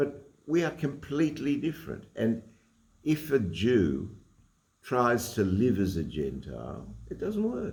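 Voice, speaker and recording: With an Australian accent, the speaker talks at a fairly slow pace with vocal fry. The pitch swings very widely, and audible room echo surrounds the voice. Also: man, medium pitch for a man. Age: 80s+. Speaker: Torah teacher and lawyer. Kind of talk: religious lecture. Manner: halting, with frequent repetitions.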